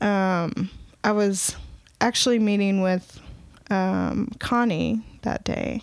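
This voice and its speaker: With a Southern US accent, a woman speaks at medium pitch with ordinary pitch variation. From Alabama, US South. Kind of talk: testimony. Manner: hesitant, many fillers.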